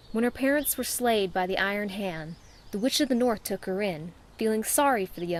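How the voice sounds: The voice is a natural reading voice. That is how it sounds here.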